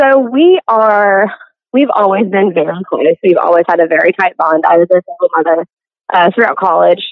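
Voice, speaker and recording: At a moderate pace, a woman with an American accent uses an unremarkable speaking voice with ordinary pitch variation. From US South, coastal Mississippi. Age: 20s. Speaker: cosplayer and character performer business owner. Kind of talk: casual interview chat.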